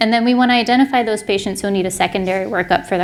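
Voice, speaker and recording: Talking at a very fast pace, a woman keeps her intonation fairly even. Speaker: primary care physician giving a lecture. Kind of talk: medical lecture to clinicians. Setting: symposium stage with audience.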